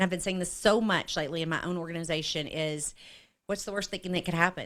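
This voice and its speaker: A woman's fairly low-pitched, normal speaking voice at a fairly quick pace, with fairly even intonation and a very clean recording over a silent background. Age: 50s. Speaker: network marketing leader. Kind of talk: interview conversation.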